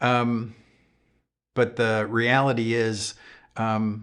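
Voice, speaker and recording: A man with an American accent and a fairly low pitch speaks over a quiet background. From Upstate New York. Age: 60s. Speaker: YouTube guitar channel host. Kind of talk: live stream chat. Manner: casual, many fillers.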